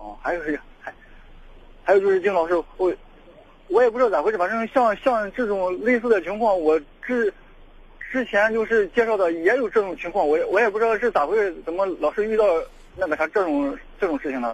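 The pace is fairly quick. Pauses are long and frequent. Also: man, high pitch for a man, ordinary pitch variation. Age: 30s. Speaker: caller seeking dating advice. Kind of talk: call-in consultation. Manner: halting, many fillers and repetitions.

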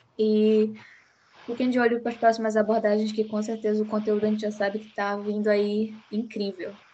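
Delivery is fairly rapid. The pitch stays monotone and flat throughout. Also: woman, fairly high pitch for a woman. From Belém, Pará, northern Brazil. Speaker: psychology student podcast host. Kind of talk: casual discussion.

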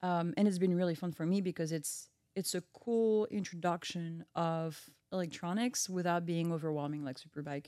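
The voice has a dark, mellow tone and moves at a fairly quick pace. The recording is very clean, with a silent background. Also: woman. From France, Brittany. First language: French. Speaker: engine research engineer. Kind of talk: casual chat.

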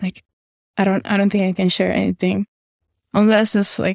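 A woman speaks at a medium pitch in a monotone, flat intonation. The sound is dry and close, with no echo. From Panama. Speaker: generative artist. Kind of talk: interview.

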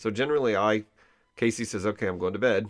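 The background stays quiet. Ordinary pitch variation runs through the man's speech. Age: 50s. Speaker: podcast host. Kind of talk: casual chat, interview with his wife. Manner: loud.

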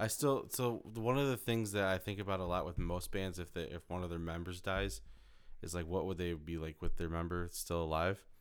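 Very clean and silent in the background, the recording features a man with a very deep, low pitch talking at a fairly quick pace with ordinary pitch variation. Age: 20s. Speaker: podcast host. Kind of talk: casual chat. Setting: home basement studio.

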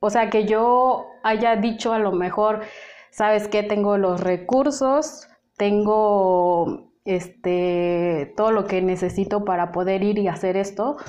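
Speaking at a very slow pace, the woman has a medium pitch, ordinary pitch variation and very even loudness. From Mexico. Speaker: humanitarian aid worker. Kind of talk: interview. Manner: hesitant, many fillers and repetitions.

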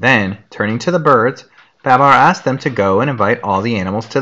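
A text is read aloud. The delivery uses a natural voice.

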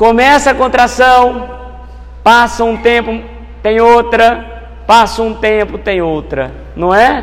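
A man at a very slow pace with long, frequent pauses and noticeable background noise. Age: 40s. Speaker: spiritist lecturer. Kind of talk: talk.

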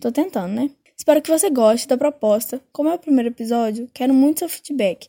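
A woman speaks at a fairly quick pace in a high pitch with a dark, mellow tone. Her intonation is lively, and the sound is dry and close with no echo. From Brazil, Minas Gerais (Belo Horizonte). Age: 20s. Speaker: podcast host, journalism student. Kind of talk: casual monologue.

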